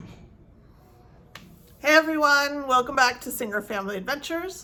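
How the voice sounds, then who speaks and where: A woman shouts in a raised, projected, high voice. Her intonation is lively and her pace moderate. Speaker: family vlogger. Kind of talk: interviewing a family member. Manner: loud, shouting.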